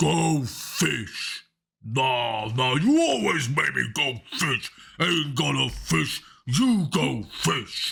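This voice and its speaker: A man puts on a loud, growling character voice at medium pitch. He speaks at a very slow pace. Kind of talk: rough, slangy. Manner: loud, angry, bickering.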